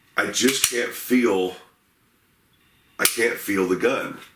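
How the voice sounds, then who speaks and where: A man's fairly even intonation amid audible room echo. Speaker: gun reviewer. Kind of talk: product review. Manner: hesitant, many fillers.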